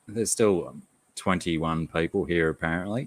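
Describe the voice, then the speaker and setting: A man with an Australian accent speaks at a moderate pace, his pitch very deep and low with ordinary variation. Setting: live stream.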